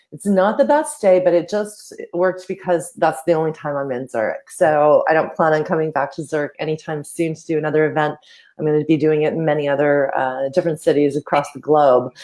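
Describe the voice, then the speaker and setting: A woman's very deep, low pitch with a dark, mellow tone, fairly even intonation, a fairly quick pace and big swings in loudness. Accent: Canadian. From Canada. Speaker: social media marketing coach. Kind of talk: casual interview chat.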